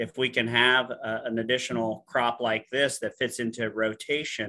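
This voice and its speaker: At a moderate pace, a man at medium pitch speaks with an American accent in a monotone, flat intonation. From US Midwest, western Illinois. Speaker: animal science professor. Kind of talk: interview.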